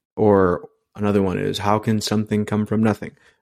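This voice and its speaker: A man with a fairly low pitch speaks in an American accent on a very clean recording with a silent background. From Queens, New York City. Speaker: software engineer sharing his faith story. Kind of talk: personal testimony in interview.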